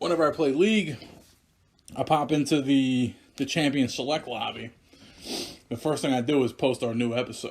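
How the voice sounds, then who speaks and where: This man speaks with a Philadelphia accent and a fairly high pitch. The recording is very clean, with a silent background. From Philadelphia, US. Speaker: podcast co-host. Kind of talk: casual chat.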